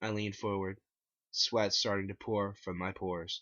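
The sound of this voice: The speech moves at a fairly slow pace, with little pitch movement and a fairly bright tone.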